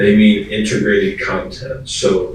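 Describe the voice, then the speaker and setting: A man is speaking. The room echo is audible. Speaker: school design consultant. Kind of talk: presentation.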